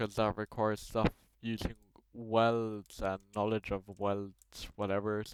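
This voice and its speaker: A man's fairly low voice with a non-native accent, monotone and flat in intonation, in a dry, close sound with no echo. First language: not English. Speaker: Roblox tutorial maker. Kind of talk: screen-recorded tutorial. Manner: casual, halting with many fillers.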